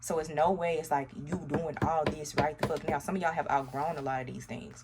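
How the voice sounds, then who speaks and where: A woman with an American accent talks at a fairly quick pace. Her pitch is very deep and low, and there is noticeable background noise. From US South, Arkansas. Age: 30s. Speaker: tarot reader. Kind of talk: tarot reading to camera. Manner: animated.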